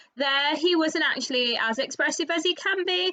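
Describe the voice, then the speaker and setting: Lively intonation rides on a fairly quick pace of speech. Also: woman. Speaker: dressage rider and vlogger. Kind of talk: voiceover commentary on a competition video. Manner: fast.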